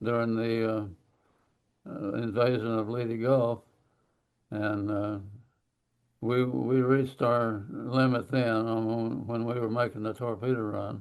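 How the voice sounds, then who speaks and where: A man speaks very slowly in an Oklahoma accent, his intonation monotone and flat, with long, frequent pauses. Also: medium pitch for a man. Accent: Southern US, Oklahoma. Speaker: war veteran. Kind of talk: interview answer.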